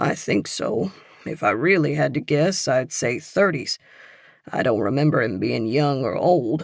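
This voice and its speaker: Using a put-on character voice, a man sounds raspy yet soothing, at a medium pitch and moderate pace with lively intonation. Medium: read story. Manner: folksy, soothing.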